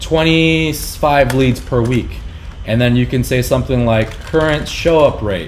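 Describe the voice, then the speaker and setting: A man talks at a moderate pace with audible room echo and noticeable background noise around him. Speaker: business owner teaching marketing. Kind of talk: tutorial.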